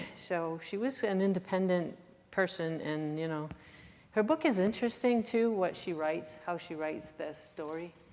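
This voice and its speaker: Ordinary pitch variation comes through, along with audible room echo. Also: woman, fairly low pitch for a woman, moderate pace. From Maine, Franco-American community in Waterville. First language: French. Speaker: author and lecturer. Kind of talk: Q&A after a lecture. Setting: lecture in a church hall with audience. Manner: halting, many fillers and restarts.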